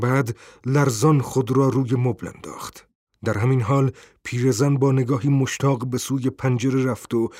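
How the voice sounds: A natural reading voice. The background is quiet.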